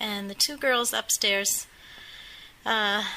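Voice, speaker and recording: A woman speaks at a fairly slow pace, her fairly high pitch moving with ordinary variation. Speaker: costume guide at a museum. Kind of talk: interview answer, telling a story. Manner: conversational, hesitant.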